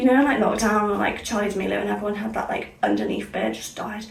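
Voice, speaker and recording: A woman with a northern English accent talks at a fairly quick pace amid noticeable background noise and audible room echo. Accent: sounds northern English today. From Somerset, south-west England. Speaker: beauty vlogger. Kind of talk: casual chat. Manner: energetic, fast chatter; speaking clearly.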